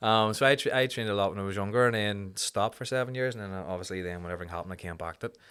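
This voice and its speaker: In a very clean recording with a silent background, a man with a Belfast accent and a fairly low pitch speaks at a very fast pace with hardly any pauses, ordinary pitch variation and big swings in loudness. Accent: Belfast Northern Irish. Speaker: amateur fighter and charity worker. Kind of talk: casual chat.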